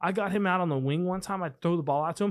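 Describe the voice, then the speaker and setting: On a very clean recording with a silent background, a man with an American accent speaks at a high pitch. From Texas. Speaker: pilot and former college football and rugby player. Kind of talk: casual chat. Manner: animated.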